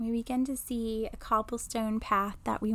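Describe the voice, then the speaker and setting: Recorded very cleanly against a silent background, a woman with an ordinary speaking voice talks fairly slowly at a fairly high pitch. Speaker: intuitive medium and podcast host. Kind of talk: guided meditation. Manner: slow, soothing, calm and gentle, with long pauses and audible sighs; soft-spoken, hushed and reassuring.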